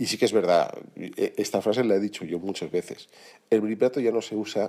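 Fairly low in pitch, the man's voice has a dark, mellow tone and ordinary pitch variation. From Spain, Valencia (Sedaví). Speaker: jazz trumpeter. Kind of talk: recorded voice message. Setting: self-recorded audio message.

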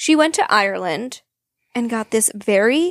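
A woman speaks at a very slow pace with fairly high pitch and very wide pitch swings. The recording is very clean, with a silent background. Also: dry, close sound with no echo. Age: 20s. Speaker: romance blogger. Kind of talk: casual chat.

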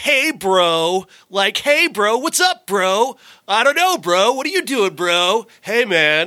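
This put-on character voice sits at a fairly high pitch and moves at a fairly slow pace. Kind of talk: casual slang. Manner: laid-back, mocking.

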